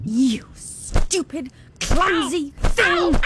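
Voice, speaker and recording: A put-on character voice at a high pitch. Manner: harsh, furious berating.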